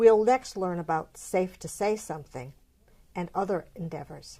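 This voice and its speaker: A woman with an unremarkable speaking voice talks at a medium pitch and moderate pace with ordinary pitch variation, on a very clean recording with a silent background. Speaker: president of a local League of Women Voters chapter, show host. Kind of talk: television host introduction and interview questions.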